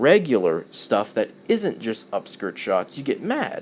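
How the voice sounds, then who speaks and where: A man talks with very wide swings in pitch. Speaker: YouTube commentator. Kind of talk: angry rant to camera.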